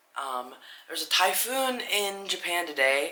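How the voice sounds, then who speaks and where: A woman's speech rings with audible room echo, and noticeable background noise sits beneath it. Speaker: movie reviewer. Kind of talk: casual movie review monologue.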